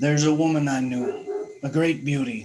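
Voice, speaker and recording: A man does a put-on character voice that is raspy and fairly high in pitch. His pace is moderate. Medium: read story.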